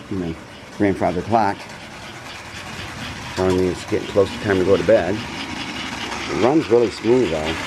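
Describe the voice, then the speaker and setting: A man's quiet, fairly low voice with ordinary pitch variation and long, frequent pauses, over noticeable background noise. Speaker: model train hobbyist. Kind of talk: casual video narration. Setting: home, upstairs room. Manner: quiet, subdued.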